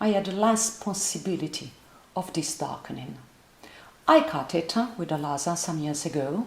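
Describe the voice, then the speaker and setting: Audible room echo surrounds a woman's fairly low-pitched voice with lively intonation. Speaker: voice teacher. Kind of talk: lecture. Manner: halting.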